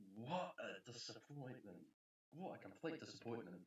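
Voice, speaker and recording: A man's somewhat breathy, medium-pitched voice with a New Zealand accent, very slow in pace, with very wide pitch swings. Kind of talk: casual movie ranking talk. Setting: poor home recording. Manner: rambling, hesitant.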